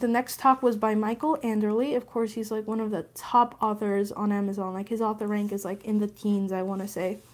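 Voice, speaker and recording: This is an ordinary speaking voice at a moderate pace. The intonation is fairly even. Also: woman. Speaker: writing vlogger. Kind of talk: casual vlog talk.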